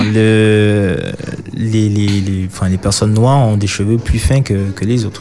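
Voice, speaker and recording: Against noticeable background noise, a man with a fairly low pitch talks at a very slow pace in a monotone, flat intonation. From Martinique. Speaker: mobile hairdresser. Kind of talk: radio interview. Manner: halting.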